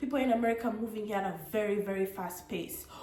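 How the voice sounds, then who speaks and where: A woman with an East African accent speaks with fairly high pitch and an animated tone at a fairly quick pace. There is audible room echo and noticeable background noise. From Tanzania (Arusha), Ugandan. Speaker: vlogger, student. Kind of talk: casual vlog monologue.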